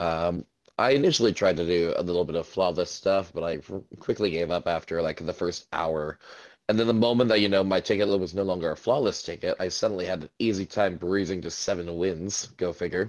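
Very clean and set against a silent background, this recording features a man with a very deep, low pitch. He speaks at a fairly quick pace. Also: ordinary pitch variation. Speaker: podcast host.

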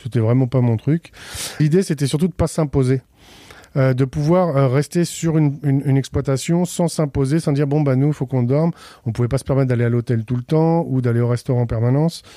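A man's fairly high-pitched voice, dark and mellow in tone, with fairly even intonation and a fairly quick pace. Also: dry, close sound with no echo. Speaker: chef. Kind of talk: interview. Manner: halting.

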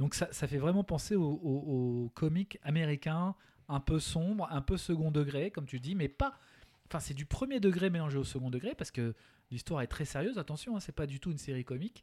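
This man has a dark, mellow tone and a fairly high pitch. He speaks at a fairly quick pace with ordinary pitch variation. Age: 40s. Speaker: podcast co-host. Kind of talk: casual chat.

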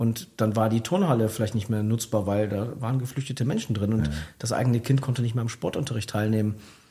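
On a very clean recording with a silent background, a man talks at a very fast pace, somewhat breathy. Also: medium pitch for a man, ordinary pitch variation. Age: 40s. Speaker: former district mayor, author. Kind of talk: radio interview. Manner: many fillers, hesitant.

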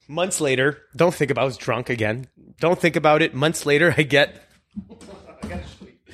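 A man's fairly high voice at a moderate pace, with ordinary pitch variation and big swings in loudness. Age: 40s. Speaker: magician and guest co-host. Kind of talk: casual chat. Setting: at his home. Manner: animated.

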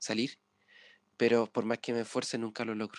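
Here is a man with an unremarkable speaking voice. He talks at a moderate pace and medium pitch. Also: quiet background. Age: 20s. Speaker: podcast co-host, university student. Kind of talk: casual chat.

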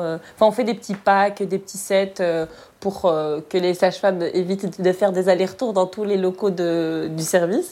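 Intonation stays monotone and flat while the tone remains dark and mellow. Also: woman. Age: 30s. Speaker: hospital logistics aide. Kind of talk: interview testimony.

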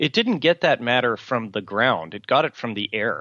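A man speaking at a moderate pace. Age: 40s. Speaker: novelist. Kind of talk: interview. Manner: halting.

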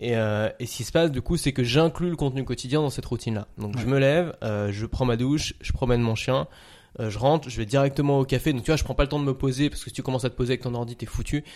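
Talking very fast at a medium pitch with ordinary pitch variation, a man is heard on a very clean recording against a silent background. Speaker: content creator. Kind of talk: casual chat.

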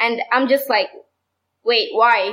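Speaking with a Sudanese accent, a woman uses a high pitch and fairly even intonation at a fairly slow pace. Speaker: medical student and activist. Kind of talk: casual chat.

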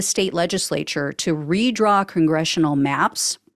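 Recorded very cleanly with a silent background, a woman with an ordinary speaking voice talks at a moderate pace with lively intonation. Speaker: podcast host. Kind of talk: news roundup read-through with light commentary. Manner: brisk, matter-of-fact delivery; dry, ironic asides.

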